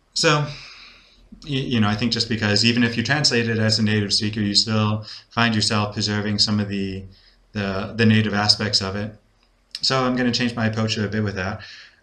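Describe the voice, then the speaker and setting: A man speaks fairly quickly at a fairly low pitch, his tone bright and sharp and his intonation fairly even. Room echo can be heard. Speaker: English-speaking teacher learning Spanish, video blogger. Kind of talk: casual video diary. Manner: hesitant, many fillers and repetitions.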